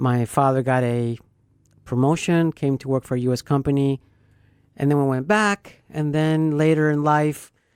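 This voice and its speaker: A woman with a very deep, low pitch speaks at a moderate pace in a very clean recording with a silent background, the sound dry and close with no echo. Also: ordinary pitch variation. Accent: slight Venezuelan. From Venezuela, Caracas. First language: Spanish. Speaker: radio host and realtor. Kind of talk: casual chat.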